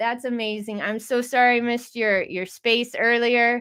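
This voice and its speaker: On a very clean recording with a silent background, a woman with a high-pitched voice speaks at a moderate pace in an animated tone. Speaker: crypto livestream host. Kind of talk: casual livestream chat.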